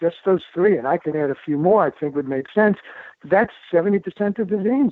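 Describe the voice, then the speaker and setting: Talking at a fairly quick pace in a New York accent, a man uses a high pitch and lively intonation. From New York City, the Bronx. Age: 70s. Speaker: doctor and author. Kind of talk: interview. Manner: fast; animated.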